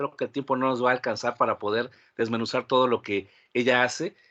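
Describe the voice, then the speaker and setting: A man's bright, sharp voice at medium pitch and a fairly quick pace, with a dry, close sound, no echo, and a quiet background. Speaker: podcast host. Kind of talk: podcast host introduction.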